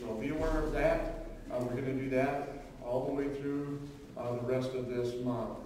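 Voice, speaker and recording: Over music in the background and strong room echo, a man talks in a monotone, flat intonation. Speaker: pastor at pulpit. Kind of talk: church announcements. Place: church.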